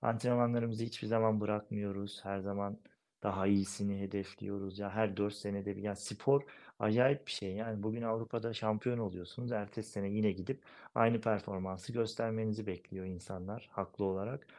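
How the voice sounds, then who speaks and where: Speaking at a fairly quick pace, a man keeps a fairly low pitch and a monotone, flat intonation. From eastern Turkey, Erzincan village. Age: 30s. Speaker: goalball player, national team captain. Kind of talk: interview.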